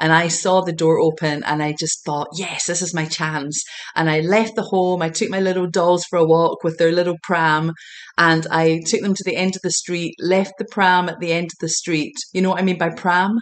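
A woman with a Scottish accent speaks at a moderate pace in a fairly low pitch, her intonation fairly even. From Scotland, Glasgow. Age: 40s. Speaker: intuitive healer and empowerment coach. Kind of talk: casual interview chat.

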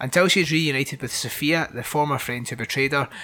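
A man's very fast speech, varying in pitch in an ordinary way, comes through noticeable background noise. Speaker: podcast host, horror film reviewer. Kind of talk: casual chat, film review. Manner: casual, swears.

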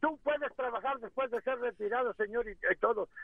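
A man speaks with an extremely high pitch. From Mexico. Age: 60s. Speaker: caller, retired carpenter. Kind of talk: heated debate. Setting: phone call, driving. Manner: animated.

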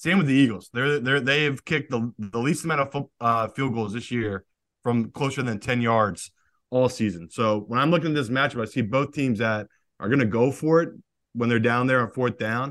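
A man speaks in a normal speaking voice at a moderate pace, with ordinary pitch variation over a quiet background. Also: medium pitch for a man. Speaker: professional sports bettor, co-host.

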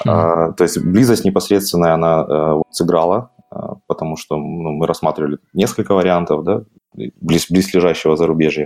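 There is music in the background. A man with a very deep, low pitch speaks at a moderate pace. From southern Ukraine, Mykolaiv. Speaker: game product manager. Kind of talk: casual interview.

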